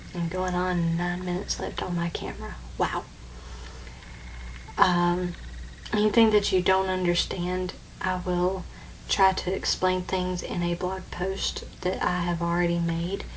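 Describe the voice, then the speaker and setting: A woman talks at a fairly slow pace with long, frequent pauses. Audible room echo surrounds her voice. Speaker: beauty vlogger. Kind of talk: tutorial. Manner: halting.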